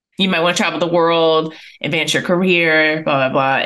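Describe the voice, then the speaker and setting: A woman speaks in a very deep, low pitch with ordinary pitch variation and a bright, sharp tone. The background is quiet. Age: 30s. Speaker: podcast co-host and business co-owner; podcast co-host. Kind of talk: casual chat. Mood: relaxed, chatty. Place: home room. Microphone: studio mic.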